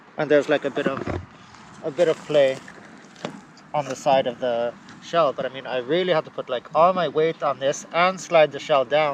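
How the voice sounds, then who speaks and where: With noticeable background noise behind him, a man with a fairly high pitch speaks at a moderate pace, using fairly even intonation and long, frequent pauses. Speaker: electric unicycle vlogger. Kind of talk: casual repair walkthrough. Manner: mumbly.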